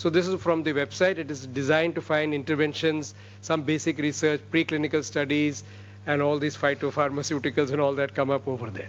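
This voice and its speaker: With an Indian accent, a man speaks at a fairly high pitch and a fairly quick pace, with ordinary pitch variation. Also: quiet background. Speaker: medical research lecturer. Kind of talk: lecture. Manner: fast.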